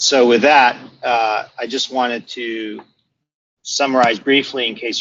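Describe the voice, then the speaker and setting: In a plain, everyday voice, someone speaks at a fairly slow pace with an American accent. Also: man. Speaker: product management head. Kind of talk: webinar presentation. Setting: online webinar. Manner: many filler words (uh).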